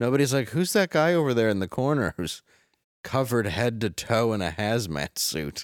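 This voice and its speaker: A man with an American accent speaks at a medium pitch in an unremarkable speaking voice, his intonation lively, on a very clean recording with a silent background. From Detroit, Michigan. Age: 40s. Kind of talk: comedic news show banter.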